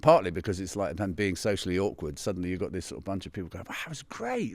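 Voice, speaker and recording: On a very clean recording with a silent background, a man with a London accent talks at a very fast pace with hardly any pauses and big swings in loudness. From West London, England. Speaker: pianist. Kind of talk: interview. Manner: halting.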